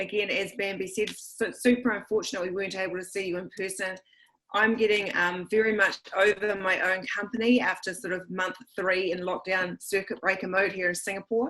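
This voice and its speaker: Fairly quick and bright, sharp in tone, a woman with a New Zealand accent speaks at a medium pitch with fairly even intonation. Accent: New Zealand, retained. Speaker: school administrator and educator. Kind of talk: online presentation.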